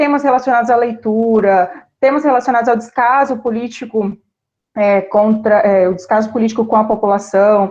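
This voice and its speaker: Her loudness very even, a woman with a fairly high pitch speaks at a moderate pace in a plain, everyday voice. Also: ordinary pitch variation. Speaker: teacher. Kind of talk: online class livestream. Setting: livestream.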